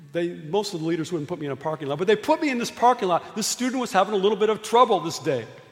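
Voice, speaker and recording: A man with a high pitch and lively intonation talks very fast, with hardly any pauses, over noticeable background noise. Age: 60s. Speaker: preacher and youth canvassing program leader. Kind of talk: sermon. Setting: church.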